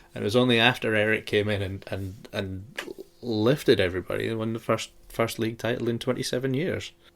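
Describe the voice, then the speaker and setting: Here a man with a Shetland accent talks at a medium pitch. His pace is moderate and his intonation fairly even. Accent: Shetland Scottish. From Shetland, Scotland. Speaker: podcast host. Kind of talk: casual chat.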